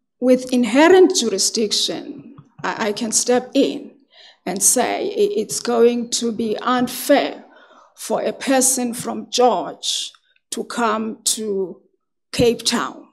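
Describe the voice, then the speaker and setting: Against a quiet background, the speaker uses lively intonation at a very slow pace. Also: woman, high pitch for a woman. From South Africa. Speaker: magistrate and judicial candidate. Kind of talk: formal job interview. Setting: hearing room with microphones. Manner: soft-spoken. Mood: calm, formal, measured. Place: meeting room. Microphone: podium.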